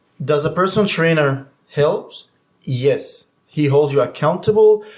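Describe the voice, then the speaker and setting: A man with a non-native accent speaks at a fairly slow pace in a fairly high pitch, with ordinary pitch variation and very even loudness. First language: not English. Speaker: certified personal trainer. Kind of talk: casual chat.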